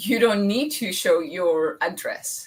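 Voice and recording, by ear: Speaking at a slow pace, a woman has a fairly bright tone.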